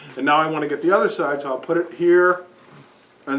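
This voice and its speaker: Noticeable background noise runs behind a man. He talks at a fairly quick pace with fairly even intonation. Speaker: seminar participant demonstrating a device. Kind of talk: demonstration to a small group. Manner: loud; halting, many restarts. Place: shop. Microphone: camera far.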